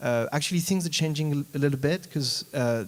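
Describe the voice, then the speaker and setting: With a French accent, a man talks at a very fast pace. His intonation is lively. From France. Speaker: panelist, politician. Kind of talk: panel discussion.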